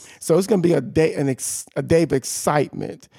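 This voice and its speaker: A man speaks at a fairly quick pace, his dark, mellow voice showing vocal fry and very wide pitch swings. The recording is very clean with a silent background, dry and close with no echo. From Louisiana. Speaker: pastor. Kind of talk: casual interview.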